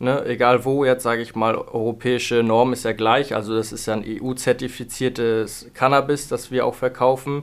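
Speaking at a moderate pace with hardly any pauses, a man holds a medium pitch in a monotone, flat intonation. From northern Germany, Hamburg. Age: 20s. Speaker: cannabis shop owner. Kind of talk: interview. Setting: studio.

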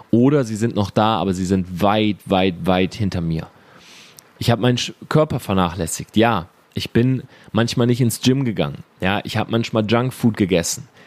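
His animated tone at a fairly low pitch, this man talks at a moderate pace with ordinary pitch variation. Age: 30s. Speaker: entrepreneur and business podcast host. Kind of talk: motivational monologue.

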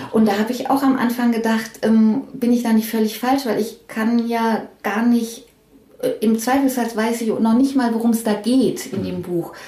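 A woman speaks with a fairly high pitch and fairly even intonation. Audible room echo surrounds her voice. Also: moderate pace. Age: 50s. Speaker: head of book production at a publisher. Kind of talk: interview. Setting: her office. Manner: halting.

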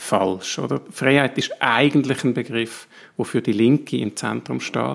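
A man's voice with vocal fry, at a fairly slow pace. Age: 40s. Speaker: politician and ethicist. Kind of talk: interview.

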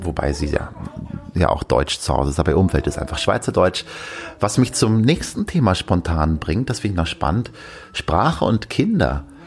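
A man talks at a moderate pace with a very deep, low pitch and lively intonation. Noticeable background noise runs underneath. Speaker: podcast host and father. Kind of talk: casual solo chat. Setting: at home, bed then veranda.

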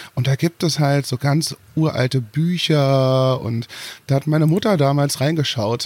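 Over a very clean recording with a silent background, a man of fairly high pitch speaks in a plain, everyday voice at a fairly slow pace, with ordinary pitch variation. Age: 30s. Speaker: singer and former drag performer. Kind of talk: interview.

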